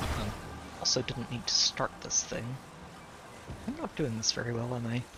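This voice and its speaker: Soft-spoken and at a moderate pace, a man talks at a medium pitch with fairly even intonation over noticeable background noise. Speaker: gaming streamer. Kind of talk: live gameplay commentary. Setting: live stream.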